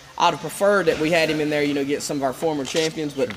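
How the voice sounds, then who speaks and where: A fairly high-pitched man with an American accent at a very fast pace, over noticeable background noise. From western North Carolina. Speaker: MMA promoter; fight team coach. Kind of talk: casual chat. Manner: repetitive, stammering starts. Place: gym.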